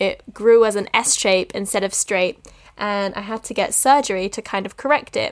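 Speaking in a normal speaking voice, a woman with a fairly high pitch keeps a moderate pace and fairly even intonation on a very clean recording with a silent background. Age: 20s. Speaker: drama student and podcast host. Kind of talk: casual monologue.

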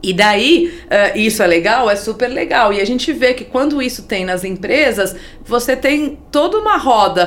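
A woman's lively intonation at a fairly slow pace, with noticeable background noise. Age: 50s. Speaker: NGO executive, economist. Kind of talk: interview conversation.

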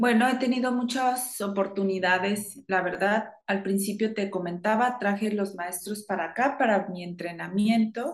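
A woman with an ordinary speaking voice, a medium pitch, fairly even intonation and a fairly slow pace. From northern Mexico, Chihuahua. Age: 50s. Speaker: yoga teacher. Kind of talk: interview.

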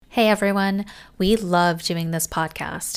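A woman with a fairly low pitch and fairly even intonation speaks in an ordinary speaking voice. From US, Taiwanese American family. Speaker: podcast co-host. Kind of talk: casual chat; podcast promo read.

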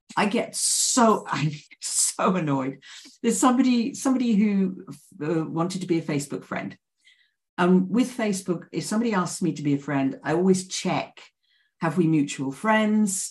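A woman with a medium-pitched, somewhat breathy voice talks at a moderate pace, her intonation lively. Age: 60s. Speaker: coach and trainer. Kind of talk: casual interview.

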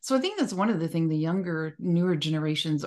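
A woman's very deep, low pitch with a dark, mellow tone against a quiet background. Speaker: podcast moderator. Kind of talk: casual chat.

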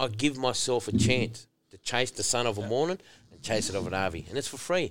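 Animated and fairly quick, a man talks at a medium pitch with lively intonation. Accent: Australian. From rural New South Wales, Australia. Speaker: former rugby league player. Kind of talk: casual interview chat.

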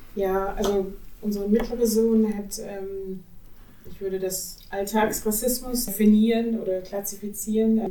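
Fairly slow, monotone delivery with flat intonation and big swings in loudness, plus audible room echo and noticeable background noise. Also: woman, medium pitch for a woman. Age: 40s. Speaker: mother. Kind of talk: podcast discussion.

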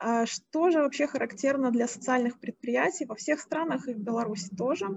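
A woman talks in a high pitch. Her pace is moderate. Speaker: moderator, social entrepreneurship expert. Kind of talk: panel moderation. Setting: video call.

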